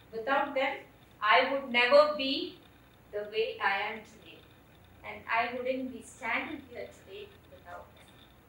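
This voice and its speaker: A woman's high-pitched voice, fairly slow, with lively intonation, big swings in loudness, long, frequent pauses and audible room echo. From India, Kerala. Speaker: storyteller. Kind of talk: personal storytelling on stage. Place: stage.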